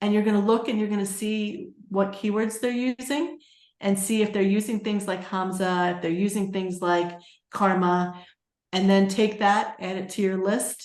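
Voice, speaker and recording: With a New York accent, this woman talks using ordinary pitch variation. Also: medium pitch for a woman, moderate pace. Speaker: Etsy seller and coach. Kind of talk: webinar tutorial.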